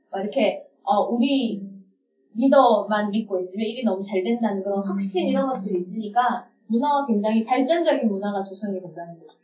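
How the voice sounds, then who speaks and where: A woman with a somewhat breathy voice talks at a moderate pace, her pitch varying in an ordinary way. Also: medium pitch for a woman. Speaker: communication and leadership trainer, podcast co-host. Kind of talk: casual chat.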